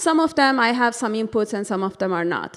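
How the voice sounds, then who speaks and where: On a very clean recording with a silent background, a woman with a Turkish accent speaks at a fairly high pitch. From Turkey. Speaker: interior designer. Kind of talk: presentation. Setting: board meeting with microphone. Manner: casual, hesitant with fillers.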